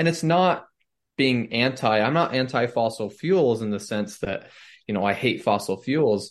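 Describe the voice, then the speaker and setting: Against a quiet background, a man with an unremarkable speaking voice talks at a moderate pace, his medium pitch carrying lively intonation. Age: 20s. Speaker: student political leader. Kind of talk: interview.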